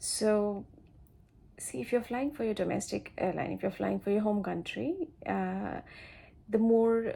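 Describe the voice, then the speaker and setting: A woman with a Bengali accent, at a fairly slow pace, with long, frequent pauses. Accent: Indian English (Bengali). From India, Siliguri, West Bengal. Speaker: flight attendant, vlogger. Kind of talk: casual vlog advice. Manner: halting, many fillers.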